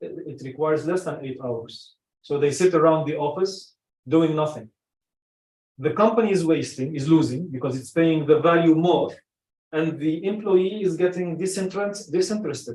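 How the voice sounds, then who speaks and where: A man at a fairly high pitch and a moderate pace, with ordinary pitch variation and big swings in loudness. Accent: Arabic. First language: Arabic. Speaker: personal branding coach. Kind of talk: casual group discussion. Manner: halting, with many restarts.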